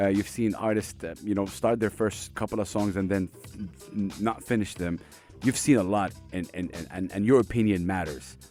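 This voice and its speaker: A man with a fairly low pitch and ordinary pitch variation talks at a moderate speed while music plays in the background. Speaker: radio host. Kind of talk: interview question.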